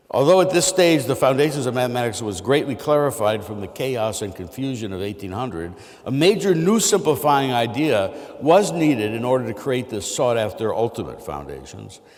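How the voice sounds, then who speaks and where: A man speaks at a fairly quick pace with very wide pitch swings. Audible room echo and noticeable background noise come through. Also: medium pitch for a man. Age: 60s. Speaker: mathematics professor. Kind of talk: lecture. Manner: halting, with many fillers.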